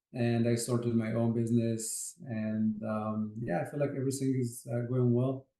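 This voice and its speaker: With an Arabic accent and a dark, mellow tone, a man talks in a monotone, flat intonation with hardly any pauses. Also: medium pitch for a man, moderate pace. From Egypt, Port Said. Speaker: architect, project manager. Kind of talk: interview. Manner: hesitant, many fillers.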